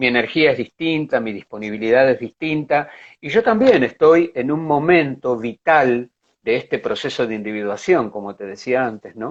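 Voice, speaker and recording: A man speaks with an unremarkable speaking voice at a medium pitch and a moderate pace. His intonation is lively. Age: 60s. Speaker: psychologist and art therapist. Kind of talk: interview. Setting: online live stream.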